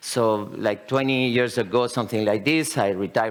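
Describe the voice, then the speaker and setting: A man with a Spanish accent at a moderate pace. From Spain. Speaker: company founder presenting at a conference. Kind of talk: conference presentation. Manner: halting, many fillers.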